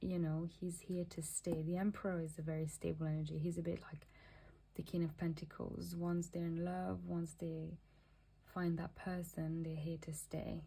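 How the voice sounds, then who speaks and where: A woman speaks at a moderate pace in a fairly low pitch, her tone dark and mellow. Her voice is somewhat breathy and flat, in a monotone. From Mauritius. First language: not English. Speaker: tarot reader. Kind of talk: tarot reading. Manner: halting.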